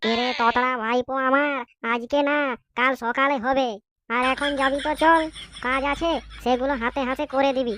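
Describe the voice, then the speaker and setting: Here is a cartoonish character voice at a moderate pace. The intonation is monotone and flat. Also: woman, high pitch for a woman. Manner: bossy, brisk.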